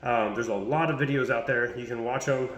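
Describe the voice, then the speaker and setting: A man of medium pitch speaks very fast with fairly even intonation, amid audible room echo and noticeable background noise. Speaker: fitness coach. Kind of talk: casual tutorial vlog.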